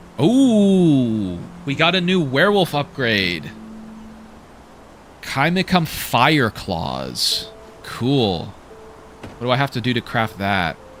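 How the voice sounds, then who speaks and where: With music in the background, a man speaks very slowly at medium pitch, with very wide pitch swings and long, frequent pauses. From Canada. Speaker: gaming streamer. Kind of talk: live gameplay commentary. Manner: animated; halting.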